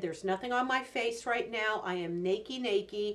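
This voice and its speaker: A woman talks in an unremarkable speaking voice at a fairly high pitch. Her pitch variation is ordinary. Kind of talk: casual beauty review to camera.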